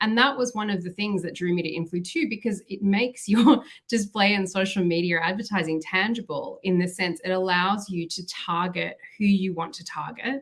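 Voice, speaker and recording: Talking at a fairly quick pace with an Australian accent, a woman keeps a medium pitch with ordinary variation. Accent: Australian, noticeable. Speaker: marketing executive. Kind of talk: podcast interview.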